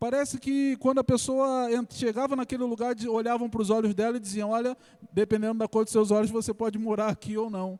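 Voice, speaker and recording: A man with a Carioca accent speaks at an extremely high pitch with ordinary pitch variation. His tone is dark and mellow, in a dry, close sound with no echo. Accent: Carioca, S pronounced like X. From Rio de Janeiro, Brazil. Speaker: pastor. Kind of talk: sermon.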